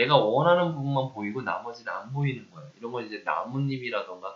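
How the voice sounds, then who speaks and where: With a normal speaking voice, a man talks at a fairly quick pace and fairly high pitch with lively intonation. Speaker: university lecturer. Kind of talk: lecture. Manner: conversational, asks rhetorical questions.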